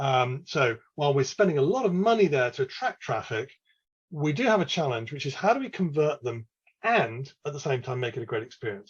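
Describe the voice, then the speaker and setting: A man with an English accent talks at a fairly quick pace with a fairly high pitch. His voice is somewhat breathy, with lively intonation. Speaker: e-commerce analyst presenter. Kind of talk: webinar presentation. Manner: casual, filler-heavy.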